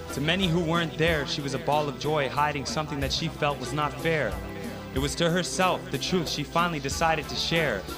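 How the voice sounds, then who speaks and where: Over background music, a man with a fairly high pitch speaks at a fairly quick pace with fairly even intonation. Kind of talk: spoken word poetry performance.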